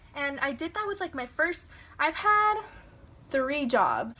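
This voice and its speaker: A woman speaks in a raised, projected voice at a moderate pace. Her pitch is high and her intonation lively. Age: 20s. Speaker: vlogger. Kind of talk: casual rant vlog.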